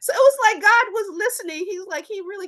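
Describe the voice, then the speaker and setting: A woman with a Memphis accent speaks at a fairly quick pace in an animated tone. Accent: Southern US, Memphis. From US South, Memphis, Tennessee. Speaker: attorney. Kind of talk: interview storytelling.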